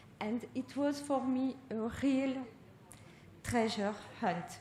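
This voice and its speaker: Audible room echo surrounds a woman with a French accent as she speaks with fairly even intonation. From France. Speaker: art researcher. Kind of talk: lecture.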